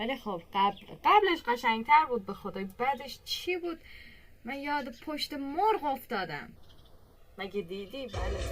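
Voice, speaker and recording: Over background music, a woman with a high pitch speaks at a fairly slow pace, with very wide pitch swings, big swings in loudness and long, frequent pauses. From Iran, Kerman. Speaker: reaction video creator. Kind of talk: casual reaction commentary. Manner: animated.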